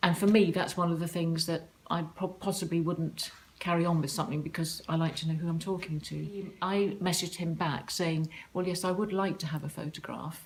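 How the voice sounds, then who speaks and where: A woman talks at a fairly quick pace in a southern English accent. Her voice is fairly low in pitch, with monotone, flat intonation. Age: 60s. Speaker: online dater sharing her diary. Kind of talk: personal diary account.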